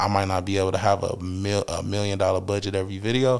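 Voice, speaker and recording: Monotone and flat, a man with a Detroit accent speaks at a very fast pace and a fairly low pitch. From Detroit, Michigan. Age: middle-aged. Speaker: music artist. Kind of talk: casual interview chat.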